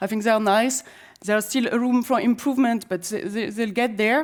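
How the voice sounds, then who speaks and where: A woman with a French accent speaks at a fairly quick pace with fairly even intonation. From France. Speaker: conference speaker on autonomous transit. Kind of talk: conference presentation. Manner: halting, many fillers and restarts.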